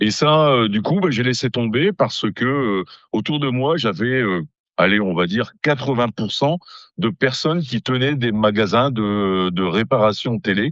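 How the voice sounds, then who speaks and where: Using lively intonation, a man speaks at a medium pitch and a fairly slow pace. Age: 60s. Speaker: amateur radio operator. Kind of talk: casual interview. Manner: hesitant, many fillers.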